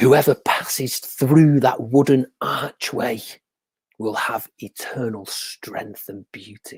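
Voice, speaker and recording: A man puts on a character voice, his pitch sitting in the middle range as he talks very slowly. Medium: read story. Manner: measured, solemn.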